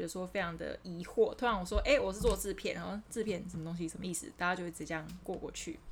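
A woman's very fast speech with vocal fry. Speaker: video producer at a tech company. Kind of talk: casual interview.

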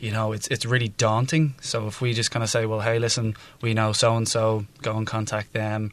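A man with a Dublin accent speaks at medium pitch and a fairly quick pace, monotone and flat, with hardly any pauses, over a quiet background. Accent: Dublin Irish. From Ireland, Dublin. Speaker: non-profit co-founder. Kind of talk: interview.

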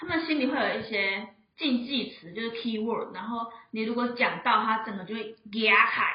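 A woman talks at a moderate pace in a fairly high pitch with ordinary pitch variation and big swings in loudness. Audible room echo and noticeable background noise surround her voice. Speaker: pharmacy assistant. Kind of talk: casual chat. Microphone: too far from mic.

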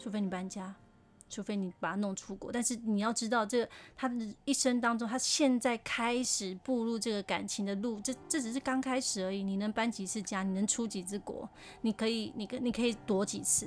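In a very clean recording with a silent background, a woman with an ordinary speaking voice talks at a fairly high pitch. She moves at a fairly quick pace with fairly even intonation. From Taiwan, Taipei (Beitou). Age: 40s. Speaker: podcast host, advice giver. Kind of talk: casual advice monologue.

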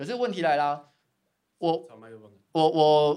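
Lively intonation runs through this man's speech. His pitch sits fairly high. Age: 30s. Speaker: graphic designer, design studio founder. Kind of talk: casual interview chat. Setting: at the guest's design studio. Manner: formal at first.

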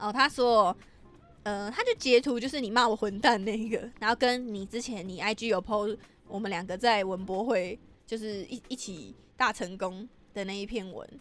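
The speaker has a Taiwanese accent and an animated tone. The pace is moderate, with ordinary pitch variation. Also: woman. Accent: Taiwanese Mandarin. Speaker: podcast host. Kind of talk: casual chat. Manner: loud.

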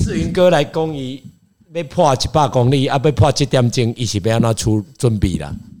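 At a moderate pace, a man speaks at a medium pitch with lively intonation. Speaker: triathlete. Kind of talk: casual chat. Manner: animated.

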